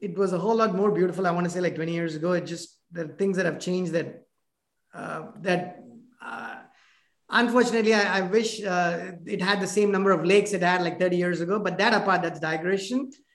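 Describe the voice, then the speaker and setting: A man's high voice with an Indian accent, fairly even intonation and a fairly quick pace. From South India (Chennai). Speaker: podcast host, business owner. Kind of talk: casual interview. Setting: video call. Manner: halting.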